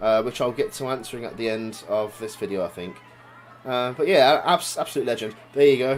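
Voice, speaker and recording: The speaker has an English accent. The intonation is lively. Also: man. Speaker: vlogger and amateur wrestler. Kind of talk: video commentary. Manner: casual, halting.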